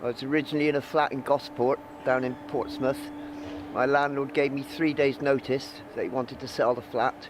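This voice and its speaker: Against noticeable background noise, a man with a fairly high pitch speaks at a fairly quick pace in a monotone, flat intonation. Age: 60s. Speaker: homeless man. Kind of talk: interview testimony.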